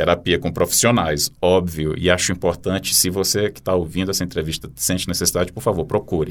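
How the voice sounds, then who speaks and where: A man talks at a fairly quick pace in a very deep, low pitch. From Brazil, Teresina (Piauí). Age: 40s. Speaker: poet and journalist. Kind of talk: interview.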